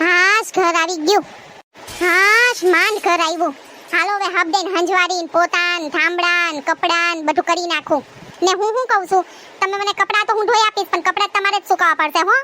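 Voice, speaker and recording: In a cartoonish character voice, a woman speaks at an extremely high pitch and a moderate pace with fairly even intonation, the sound dry and close with no echo and clear background noise. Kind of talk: comic overacting. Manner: nagging, talkative.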